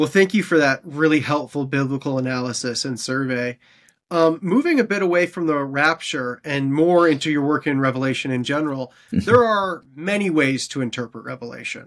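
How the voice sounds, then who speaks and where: A man with a Canadian accent has a plain, everyday voice, fairly high in pitch, with ordinary pitch variation and a moderate pace over a quiet background. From Canada. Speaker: podcast host. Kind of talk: interview. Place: home room.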